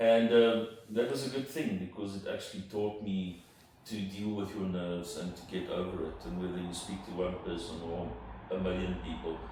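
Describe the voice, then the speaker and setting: Amid noticeable background noise and audible room echo, a man with a South African accent speaks at a very deep, low pitch. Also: ordinary pitch variation, moderate pace. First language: Afrikaans. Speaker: entrepreneur. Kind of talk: interview. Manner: hesitant, repeats words.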